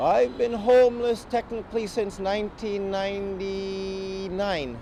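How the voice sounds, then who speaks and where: Against noticeable background noise, a man with a high pitch talks at a fairly slow pace. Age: 30s. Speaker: homeless musician. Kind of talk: testimony. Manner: halting.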